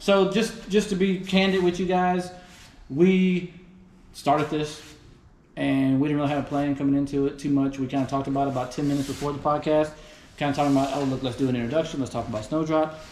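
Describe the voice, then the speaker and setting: A man's fairly high voice in a Texas accent, very fast, with ordinary pitch variation. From Houston, Texas. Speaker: podcast host. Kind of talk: casual chat. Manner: animated.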